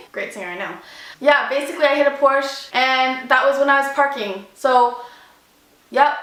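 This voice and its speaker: A raised, projected voice with an animated tone and audible room echo. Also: woman. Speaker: vlogger. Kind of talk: storytime vlog; reading aloud. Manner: loud.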